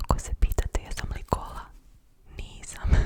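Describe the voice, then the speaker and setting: The woman whispers very slowly while noticeable background noise carries on behind her. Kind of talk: ASMR personal attention. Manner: whispered.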